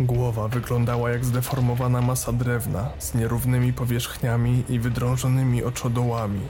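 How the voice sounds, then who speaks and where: A man's medium-pitched, dramatic delivery at a moderate pace, with very even loudness, fairly even intonation, hardly any pauses and noticeable background noise. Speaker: horror story narrator. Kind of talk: scripted horror narration, ghost story telling. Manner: tense, dramatic, building suspense.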